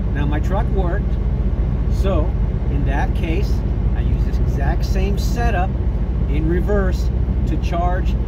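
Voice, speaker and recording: A man talks at a very slow pace. Loud background noise fills the recording. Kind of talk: tutorial. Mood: calm and matter-of-fact. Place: car. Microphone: phone near.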